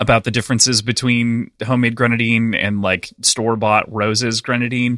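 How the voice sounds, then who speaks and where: The sound is dry and close with no echo and a silent background on this very clean recording of a man speaking at medium pitch and a fairly quick pace in a bright, sharp tone. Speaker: podcast host. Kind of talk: casual chat.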